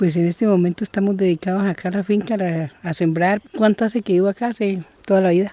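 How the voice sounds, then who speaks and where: In a dry, close sound with no echo, a man with a high pitch and a dark, mellow tone speaks at a very fast pace with fairly even intonation and hardly any pauses. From Colombia, Valle del Cauca countryside. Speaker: farmer. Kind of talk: interview testimony.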